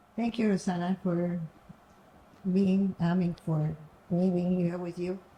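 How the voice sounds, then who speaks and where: In a Cuban accent, a woman speaks at a fairly slow pace with a fairly low pitch, a dark, mellow tone, a somewhat breathy quality and a monotone, flat intonation. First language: Spanish. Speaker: entrepreneur, guest's mother. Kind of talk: testimony. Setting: offsite mansion. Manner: halting.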